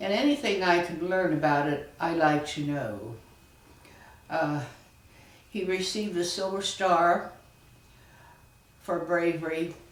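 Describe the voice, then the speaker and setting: A woman talks at a fairly slow pace in a fairly low voice. The room echo is audible, and there is noticeable background noise. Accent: American. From southern Indiana, US. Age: 80s. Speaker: family historian. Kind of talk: oral history interview.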